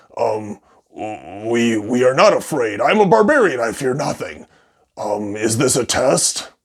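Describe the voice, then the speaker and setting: A put-on character voice from a man, raspy and medium in pitch. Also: fairly slow pace. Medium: solo performance.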